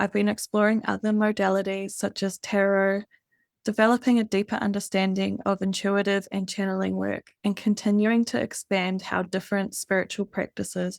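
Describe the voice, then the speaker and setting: A woman in a New Zealand accent at medium pitch and moderate pace, monotone and flat, with a dry, close sound, no echo and a very clean recording over a silent background. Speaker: spiritual hypnotherapist and podcast host. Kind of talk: scripted podcast monologue. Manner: gentle, calm.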